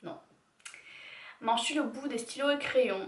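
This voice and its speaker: A woman is speaking. She keeps to a fairly slow pace. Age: 20s. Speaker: YouTuber. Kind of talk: casual talk to camera.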